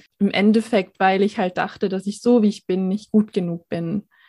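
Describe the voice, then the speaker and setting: A woman with an unremarkable speaking voice talks at a medium pitch. The recording is very clean with a silent background, and the sound is dry and close with no echo. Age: 20s. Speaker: social worker and mental health advocate. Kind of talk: personal testimony in interview.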